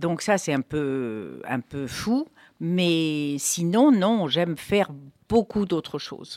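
On a very clean recording with a silent background, a woman with a fairly low pitch speaks at a very slow pace with very wide pitch swings. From Morocco, Fès. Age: 70s. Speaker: cookbook author. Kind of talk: casual chat.

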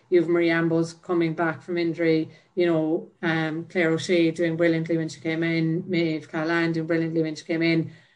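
Here a woman's voice is fairly low in pitch. Her intonation is monotone and flat. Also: moderate pace. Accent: Cork. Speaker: Gaelic footballer. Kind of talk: interview.

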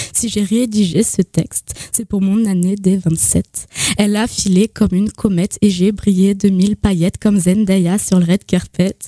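Soft-spoken and fairly slow, the voice stays monotone and flat in a dry, close sound with no echo. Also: woman, medium pitch for a woman. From Lorraine, eastern France (Nancy area). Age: 20s. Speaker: slam poet. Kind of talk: spoken-word poetry performance.

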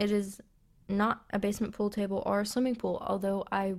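The pace stays moderate. A Southern US accent colors the speech. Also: woman. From US South, West Tennessee. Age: 20s. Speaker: podcast host. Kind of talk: casual solo podcast monologue.

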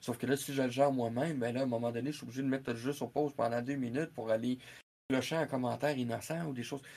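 A man with a Quebec accent, medium-pitched and monotone, flat in intonation, at a very fast pace over a quiet background. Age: 40s. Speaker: video game columnist. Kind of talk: live-streamed interview.

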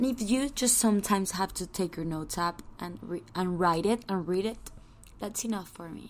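With a Spanish accent, a woman speaks at a moderate pace, using ordinary pitch variation and big swings in loudness. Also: medium pitch for a woman. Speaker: podcast host. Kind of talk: scripted intro; casual chat. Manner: relaxing.

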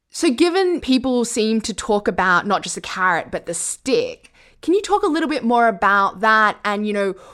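Lively intonation from a woman with a fairly high-pitched voice. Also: very clean recording, silent background. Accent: Australian. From Australia. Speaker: foreign correspondent. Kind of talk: conversational interview.

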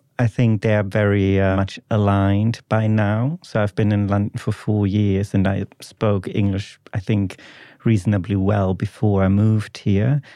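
Over a quiet background, a man with a German accent speaks in a dark, mellow tone, his loudness very even and his intonation monotone and flat. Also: fairly low pitch for a man, moderate pace. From Germany, Ruhr area. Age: 20s. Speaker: PhD student, podcast guest. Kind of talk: casual interview chat. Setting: studio.

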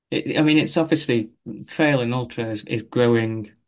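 A man with an unremarkable speaking voice, medium pitch and moderate pace, against a quiet background. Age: 40s. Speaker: running coach. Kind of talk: casual interview.

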